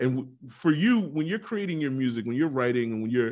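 An unremarkable speaking voice at a fairly quick pace, ordinary pitch variation, and a quiet background. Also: man. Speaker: podcast co-host. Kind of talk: casual interview.

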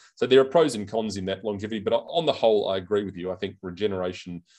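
A man with an Australian accent at a very fast pace, fairly low in pitch with ordinary pitch variation, against a quiet background. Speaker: senator. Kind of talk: interview. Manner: hesitant, halting.

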